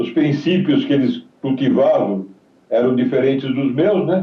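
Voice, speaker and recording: A man speaks with a fairly high pitch and lively intonation. His delivery is fairly slow and somewhat breathy. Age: 70s. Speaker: retired footballer. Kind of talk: interview.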